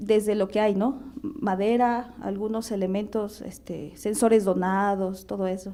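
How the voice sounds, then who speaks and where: A woman speaking at a very slow pace, her intonation fairly even. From central Mexico, Hñähñu (Otomí) village. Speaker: artist. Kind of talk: panel discussion. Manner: halting, many fillers and repetitions.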